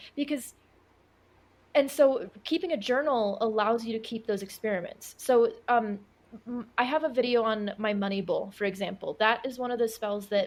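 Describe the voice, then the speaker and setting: A woman speaks at a moderate pace with a fairly high pitch and ordinary pitch variation. It is a normal speaking voice. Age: 20s. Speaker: occult and witchcraft content creator. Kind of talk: podcast interview answer.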